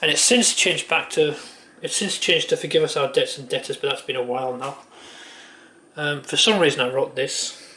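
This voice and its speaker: Noticeable background noise behind a man speaking at a fairly quick pace. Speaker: youtuber. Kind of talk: casual monologue. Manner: fast.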